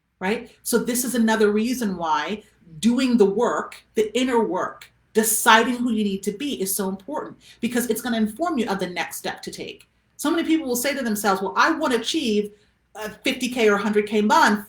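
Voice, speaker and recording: Somewhat breathy and fairly high-pitched, a woman talks at a fairly quick pace with ordinary pitch variation. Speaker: business coach. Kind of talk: live stream coaching talk. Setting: facebook live video. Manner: fast.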